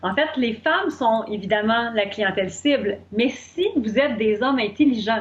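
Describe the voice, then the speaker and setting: Speaking at a fairly slow pace with hardly any pauses, a woman with a Quebec accent uses lively intonation in a fairly high pitch, her voice somewhat breathy. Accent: Québécois French. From Quebec, Shawinigan. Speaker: business coach. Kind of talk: interview.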